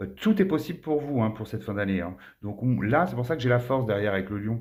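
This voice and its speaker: With lively intonation, the man races along at a very fast pace. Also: medium pitch for a man. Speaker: tarot card reader. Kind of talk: tarot reading monologue.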